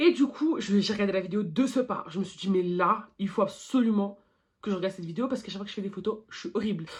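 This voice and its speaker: A woman talks at a fairly quick pace, her voice somewhat breathy. Her pitch sits in the medium range with ordinary variation. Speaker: beauty YouTuber. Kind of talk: makeup tutorial vlog. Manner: halting.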